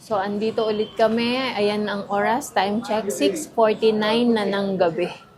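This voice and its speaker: Over noticeable background noise, a woman with a fairly high pitch talks at a moderate pace. She leaves hardly any pauses. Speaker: vlogger. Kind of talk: casual vlog narration. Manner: animated.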